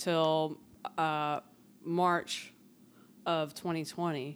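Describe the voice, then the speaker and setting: This is a woman speaking in an American accent. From Philadelphia, North Philly. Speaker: comedian. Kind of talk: casual chat.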